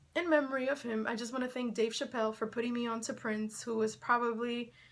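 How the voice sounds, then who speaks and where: Here is a woman speaking at a fairly quick pace with a Spanish accent. Her fairly high voice has a bright, sharp tone. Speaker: YouTuber, sports and entertainment commentator. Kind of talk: casual vlog commentary. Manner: conversational, animated.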